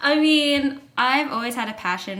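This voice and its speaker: A woman speaks with a bright, sharp tone and an American accent. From United States. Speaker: college basketball player. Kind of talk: casual interview.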